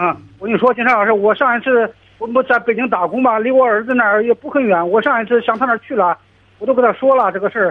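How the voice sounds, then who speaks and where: At a very fast pace, a man talks with an extremely high pitch. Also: ordinary pitch variation. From Henan, China. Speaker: caller, migrant worker and parent. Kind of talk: call-in advice conversation. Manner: halting.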